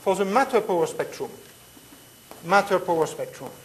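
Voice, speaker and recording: Speaking in a French accent with a fairly high pitch and ordinary pitch variation, a woman is heard amid audible room echo and noticeable background noise. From Switzerland. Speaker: physics lecturer. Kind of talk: lecture.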